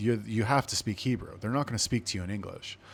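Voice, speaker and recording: A man at medium pitch speaks with a West Coast US accent in a very clean recording with a silent background. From Los Angeles, California. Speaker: podcast host, army veteran. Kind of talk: casual solo storytelling. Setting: indoor room with air conditioning. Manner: animated, conversational.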